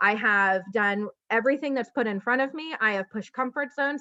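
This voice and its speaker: Quick-paced and animated, a woman speaks in a bright, sharp tone with ordinary pitch variation, in a dry, close sound with no echo over a quiet background. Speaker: network marketing leader. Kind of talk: motivational talk. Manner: fast.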